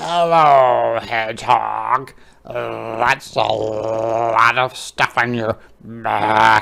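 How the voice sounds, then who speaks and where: In a put-on character voice, low and croaky, the speaker goes very slowly. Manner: a little scary.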